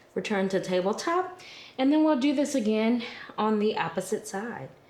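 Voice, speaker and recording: A woman speaks with a fairly high pitch. Her pitch swings very widely. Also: moderate pace. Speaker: yoga instructor. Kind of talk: guided yoga class. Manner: calm, gentle instruction.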